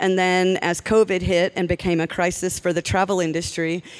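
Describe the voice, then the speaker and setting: Talking at a fairly slow pace, a woman with an American accent has a medium pitch and an unremarkable speaking voice. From United States. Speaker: airline executive. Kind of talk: conference talk.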